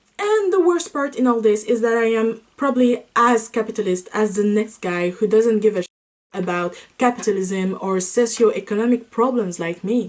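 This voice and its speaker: This woman speaks with a French accent. Her pitch is fairly high. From France. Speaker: student video essayist. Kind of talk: video essay narration.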